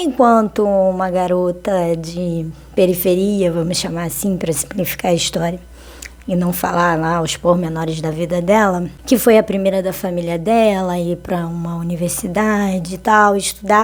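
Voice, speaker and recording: Through noticeable background noise, a woman speaks at a moderate pace in a fairly low voice with fairly even intonation. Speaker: vlogger. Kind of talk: casual monologue vlog. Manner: conversational, hesitant with fillers.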